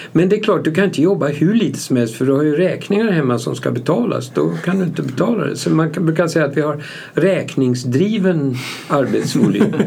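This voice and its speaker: Speaking at a fairly quick pace with lively intonation, a man with a fairly high pitch is heard amid noticeable background noise and audible room echo. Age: 70s. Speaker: company founder. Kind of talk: interview.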